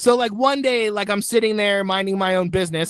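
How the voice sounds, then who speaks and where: Over noticeable background noise, a man talks very fast in an animated tone with ordinary pitch variation. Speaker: stand-up comedian. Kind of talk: stand-up.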